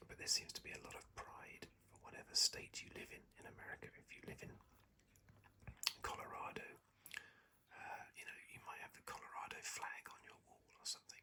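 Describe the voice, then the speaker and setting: The speaker is whispering. The accent is British. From England. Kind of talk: casual talk to camera, relaxed ASMR commentary. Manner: whispered, soft-spoken.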